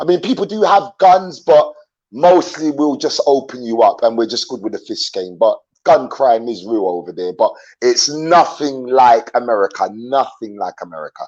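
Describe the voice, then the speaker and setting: A man with an English accent, fairly high pitch, very wide pitch swings and a moderate pace. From London, England (born in Jamaica). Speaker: YouTuber, traveler. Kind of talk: interview on live stream. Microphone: dodgy internet connection.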